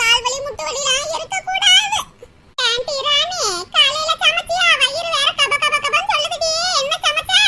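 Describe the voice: A woman puts on a cartoonish character voice at an extremely high pitch. Her pitch swings very widely. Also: fairly slow pace.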